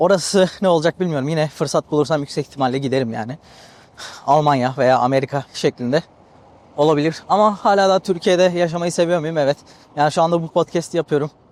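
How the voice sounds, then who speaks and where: A man talks at a fairly quick pace with a fairly high pitch and ordinary pitch variation, in a dry, close sound with no echo. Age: 20s. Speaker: podcaster. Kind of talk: casual monologue. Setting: outdoors on the seafront.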